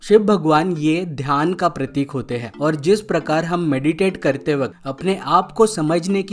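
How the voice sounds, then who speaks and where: A man with a Bengali accent, a fairly high pitch and ordinary pitch variation. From India, Maharashtra. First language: Bengali (speaking Hindi). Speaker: YouTube explainer host. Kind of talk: educational explainer narration.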